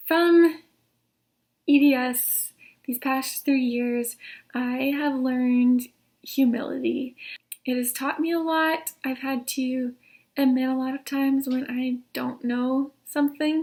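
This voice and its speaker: A woman speaks at a high pitch in a monotone, flat intonation. Her pace is very slow, with long, frequent pauses. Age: 30s. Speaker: patient sharing illness story. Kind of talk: testimony.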